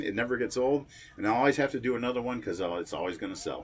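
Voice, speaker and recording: Very fast speech in an American accent. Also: man. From Kenosha, Wisconsin. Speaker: horror host, musician, actor, radio host. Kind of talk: casual interview answer. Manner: relaxed, conversational, reminiscing.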